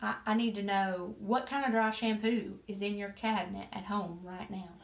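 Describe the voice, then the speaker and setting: A woman with a strong Southern US accent, medium in pitch, at a moderate pace with fairly even intonation. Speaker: hairstylist. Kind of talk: casual talk to camera.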